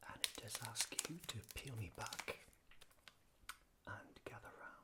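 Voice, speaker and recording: A man whispering with a British accent at a fairly slow pace, against noticeable background noise. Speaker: ASMR artist. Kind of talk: ASMR unscripted ramble. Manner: whispered, soft-spoken.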